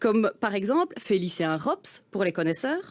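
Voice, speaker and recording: A woman at a fairly slow pace, with very wide pitch swings, on a very clean recording with a silent background. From Wallonia, Belgium (Gerpinnes, Charleroi area). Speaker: spoken-word performer. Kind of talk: reading aloud.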